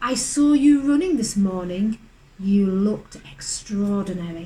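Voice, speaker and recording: A woman puts on a character voice at a medium pitch. She keeps to a moderate pace. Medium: read story. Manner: sly.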